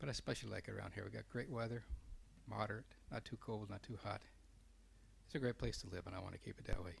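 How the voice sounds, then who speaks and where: A soft-spoken man at a very fast pace, with long, frequent pauses. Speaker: council seat applicant. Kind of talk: interview. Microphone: too quiet.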